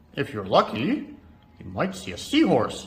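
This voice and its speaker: Using a put-on character voice, a man speaks at a fairly high pitch and a moderate pace. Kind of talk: children's picture-book reading. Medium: read story.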